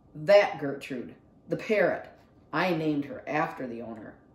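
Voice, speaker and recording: A mumbled, put-on character voice at middle pitch and moderate pace. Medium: read story. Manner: mumbling, shy.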